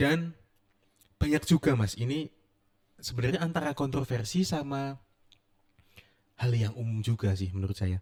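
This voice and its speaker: Speaking at a moderate pace with lively intonation, a man with a medium pitch leaves long, frequent pauses. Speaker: podcast host. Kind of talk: casual interview. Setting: podcast studio.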